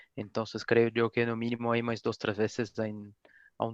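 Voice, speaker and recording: With a non-native accent, a man talks at a moderate pace in a medium pitch, his intonation monotone and flat, the sound dry and close with no echo. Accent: foreign accent in Spanish. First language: Portuguese (speaking Spanish). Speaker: refrigerant industry representative. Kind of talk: webinar closing remarks. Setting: online webinar.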